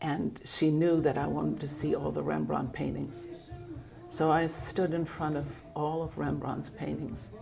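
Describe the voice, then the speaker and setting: Music plays in the background amid audible room echo. The speech comes at a fairly slow pace. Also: woman. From Germany. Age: 80s+. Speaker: artist. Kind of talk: casual chat.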